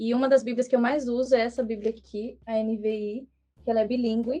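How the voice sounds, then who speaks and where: A woman talks at a moderate pace in a monotone, flat way. Her tone is dark and mellow. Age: young. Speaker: missionary. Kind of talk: podcast interview.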